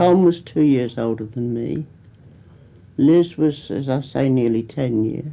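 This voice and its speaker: With a Kent accent, a woman speaks at a fairly slow pace in a very deep, low pitch, with ordinary pitch variation. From Canterbury, Kent, England. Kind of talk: oral history interview answer.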